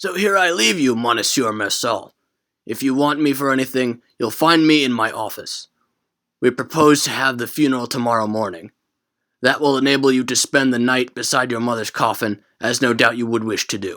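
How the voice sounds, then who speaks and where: A man's put-on character voice at a medium pitch with ordinary pitch variation, in a very clean recording with a silent background. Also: moderate pace. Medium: read story. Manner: formal, polite.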